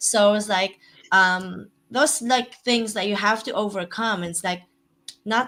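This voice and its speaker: With a non-native accent, the speaker talks at a fairly slow pace in a bright, sharp tone with ordinary pitch variation. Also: woman. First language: not English. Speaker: real estate investor. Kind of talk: podcast interview. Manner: halting.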